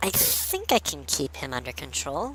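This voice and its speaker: A man's put-on character voice at a moderate pace, over clear background noise. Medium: read story.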